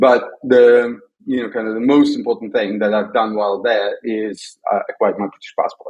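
A man speaks at a moderate pace in a Russian accent. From Soviet Union. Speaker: tech entrepreneur. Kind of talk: podcast interview. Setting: remote call.

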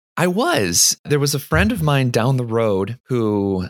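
A man at medium pitch with an unremarkable speaking voice, lively intonation and a fairly slow pace, in dry, close sound without echo on a very clean recording with a silent background. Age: 30s. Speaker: software developer and amateur rock climber. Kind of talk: casual interview.

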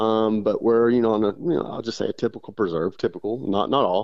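A medium-pitched man with a Texas accent talks at a moderate pace. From West Texas. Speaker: bird hunting guide. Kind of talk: interview.

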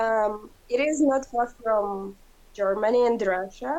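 Here a woman talks very slowly with a Ukrainian accent. Her pitch is fairly high, with ordinary variation. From Ukraine. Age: young. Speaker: interviewee. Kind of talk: interview. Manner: halting.

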